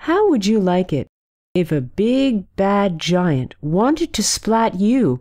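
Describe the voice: Against a quiet background, the text is read aloud plainly with lively intonation.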